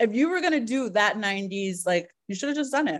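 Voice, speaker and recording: An unremarkable speaking voice from a woman, moderate in pace and fairly high in pitch, with lively intonation. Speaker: drag queen. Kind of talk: casual chat.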